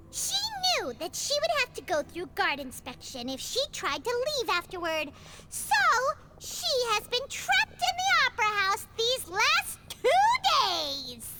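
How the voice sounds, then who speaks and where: A put-on character voice sits at an extremely high pitch and swings very widely in pitch. It goes at a fairly slow pace over clear background noise. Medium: video game. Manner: brisk, explanatory.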